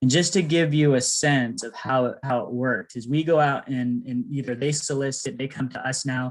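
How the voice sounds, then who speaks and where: This is an ordinary speaking voice, a man talking at a fairly high pitch with ordinary pitch variation. He keeps a moderate pace with hardly any pauses. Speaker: nonprofit presenter. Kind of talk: pitch presentation.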